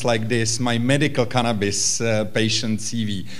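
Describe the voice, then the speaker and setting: Noticeable background noise and audible room echo fill this recording of a man. He speaks with a Czech accent at a fairly slow pace and a medium pitch. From Czech Republic, Prague. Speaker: physician and patient advocate. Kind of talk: conference panel talk. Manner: halting, many fillers.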